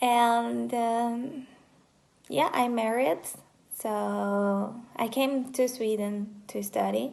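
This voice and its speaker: Speaking at a very slow pace with long, frequent pauses, a woman holds a fairly high pitch. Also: fairly even intonation. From Brazil, countryside of São Paulo state. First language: Portuguese. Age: 20s. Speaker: vlogger, university student. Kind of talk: casual self-introduction vlog. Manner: hesitant, with fillers.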